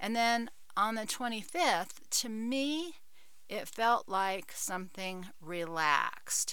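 A woman's fairly high voice, bright and sharp in tone, at a very slow pace. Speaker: podcaster. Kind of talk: solo podcast monologue.

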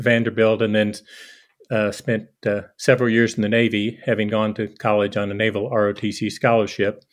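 A normal speaking voice with an American accent moves at a moderate pace. The background is quiet. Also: man. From eastern Kentucky, US. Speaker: physician. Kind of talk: interview.

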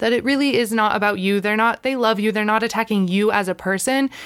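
A woman with a fairly high pitch and ordinary variation in it, in a normal speaking voice. The recording is very clean, with a silent background. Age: 30s. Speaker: podcast host. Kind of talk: casual monologue.

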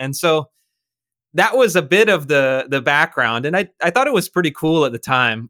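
A man's bright, sharp tone, fairly high in pitch, at a moderate pace, with a dry, close sound and no echo. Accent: American. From California, Sacramento. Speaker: policy activist and writer. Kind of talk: interview. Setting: remote call.

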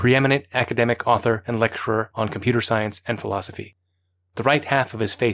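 Plain reading aloud with fairly even intonation unfolds against a quiet background.

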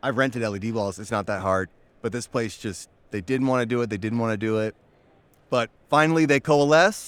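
A man talks in a normal speaking voice at medium pitch. His pace is moderate, with ordinary pitch variation. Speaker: crypto company creative team member. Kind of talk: casual interview. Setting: conference expo floor.

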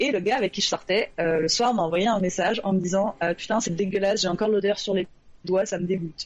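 A woman's normal speaking voice, medium-pitched, with ordinary pitch variation and a fairly quick pace. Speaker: novelist. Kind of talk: casual debate chat. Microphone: low volume, poor sound at start.

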